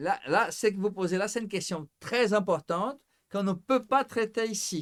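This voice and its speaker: Ordinary pitch variation and a moderate pace from a man pitched high. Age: 60s. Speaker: psychologist. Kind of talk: casual chat. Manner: formal.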